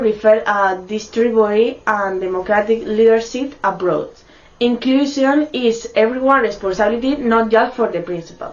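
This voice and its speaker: A woman with a non-native accent speaks at a fairly high pitch with ordinary pitch variation, over noticeable background noise. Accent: non-native English pronunciation. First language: Spanish. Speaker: university student. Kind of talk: student presentation.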